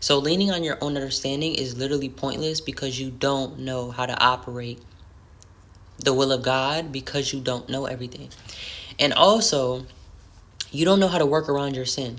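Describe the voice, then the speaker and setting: Her pitch very deep and low, a woman talks at a moderate pace with ordinary pitch variation and long, frequent pauses, with audible room echo. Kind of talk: devotional talk to camera. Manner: earnest, conversational.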